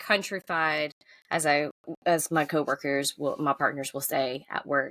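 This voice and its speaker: A woman's very deep, low voice with a Southern US accent, a bright, sharp tone and fairly even intonation, dry and close with no echo, on a very clean recording with a silent background. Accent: Southern US country. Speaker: author. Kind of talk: casual chat.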